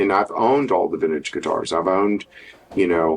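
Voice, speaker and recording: A man speaks with a Texan accent. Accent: Texan American. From Texas, Dallas area. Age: 70s. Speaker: guitar maker and guitarist. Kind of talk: interview.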